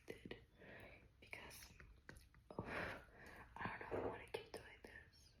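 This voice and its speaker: Whispering, a woman speaks in a relaxed tone. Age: 20s. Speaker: ASMR creator. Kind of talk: whispered personal update ramble to camera. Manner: soft-spoken, relaxed, rambling.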